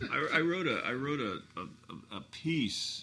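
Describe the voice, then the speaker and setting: A man with an American accent speaks in a bright, sharp tone, with audible room echo. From US West Coast, Hermosa Beach, California. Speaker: guitarist and band founder. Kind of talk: casual interview chat. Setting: studio.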